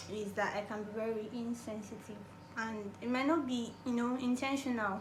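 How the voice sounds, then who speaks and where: A moderate pace amid audible room echo and noticeable background noise. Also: woman. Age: 20s. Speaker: YouTuber. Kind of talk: casual Q&A vlog.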